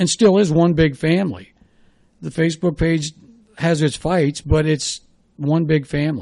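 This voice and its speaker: A man with a US Midwestern accent has a dark, mellow tone and a fairly high pitch. He speaks at a fairly slow pace with fairly even intonation. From Ohio, Dayton area. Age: 60s. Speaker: former sports radio host and baseball coach. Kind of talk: podcast interview. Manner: conversational, reflective.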